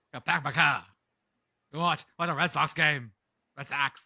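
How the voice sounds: A man puts on a character voice in a Boston accent, fairly high-pitched and at a moderate pace. The sound is dry and close, with no echo.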